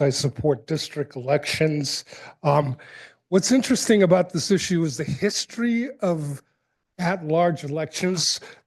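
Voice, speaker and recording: A man with an American accent at a fairly high pitch, fairly slow pace and ordinary pitch variation, against a quiet background. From New England, New Bedford, Massachusetts. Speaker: public commenter. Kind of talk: public comment. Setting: city council meeting. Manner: halting, many fillers.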